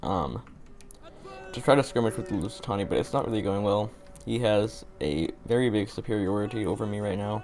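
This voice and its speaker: Over noticeable background noise, a man speaks at a fairly quick pace in a fairly low voice with ordinary pitch variation. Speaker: gaming commentator. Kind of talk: gameplay commentary. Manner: casual, hesitant with fillers.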